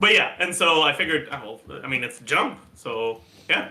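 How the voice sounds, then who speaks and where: A man talks with a Canadian French accent at a fairly high pitch. His pitch swings very widely. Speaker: streamer. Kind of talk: casual chat. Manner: repeats words often, halting.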